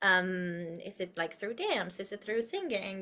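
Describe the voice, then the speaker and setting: In a very clean recording with a silent background, a woman with a Spanish accent speaks at a moderate pace in a bright, sharp tone. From Uruguay. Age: 30s. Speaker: actress and producer. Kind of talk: podcast interview. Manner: animated, expressive.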